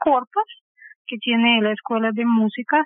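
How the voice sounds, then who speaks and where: With a Russian accent, a woman speaks at a fairly high pitch and a moderate pace. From Belarus, Minsk. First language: Russian (speaking Spanish). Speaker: pianist and music theory teacher. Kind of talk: interview.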